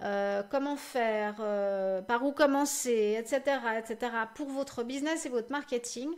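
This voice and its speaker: A woman at a very slow pace with lively intonation. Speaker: social media marketing live show host. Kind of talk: live stream Q&A and announcements. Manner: stuttering, halting with many fillers.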